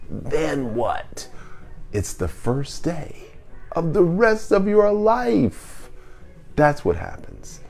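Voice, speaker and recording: A man at a very slow pace with long, frequent pauses, over music in the background. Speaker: wellness podcast host. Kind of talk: live q&a show monologue.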